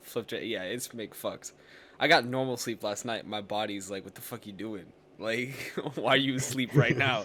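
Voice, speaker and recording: At a moderate pace, a man with a medium pitch and ordinary pitch variation speaks with big swings in loudness. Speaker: podcast host. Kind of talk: casual chat. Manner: halting.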